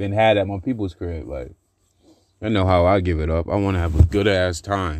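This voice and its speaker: Against a quiet background, a man with a plain, everyday voice speaks at a fairly low pitch and a moderate pace with ordinary pitch variation. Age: 30s. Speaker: podcaster. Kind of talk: casual monologue.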